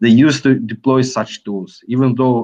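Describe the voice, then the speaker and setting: A man with a non-native accent is speaking. He keeps a fairly slow pace. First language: not English. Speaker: software and ad-tech business guest. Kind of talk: webinar Q&A. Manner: halting, many fillers.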